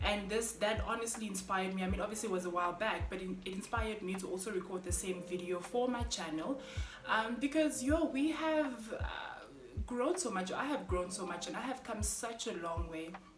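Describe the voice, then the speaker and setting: Over noticeable background noise and audible room echo, a woman at medium pitch speaks with an animated tone and lively intonation. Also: fairly quick pace. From Namibia. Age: 30s. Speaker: vlogger. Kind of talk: casual vlog monologue. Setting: at home, kids sleeping. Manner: loud.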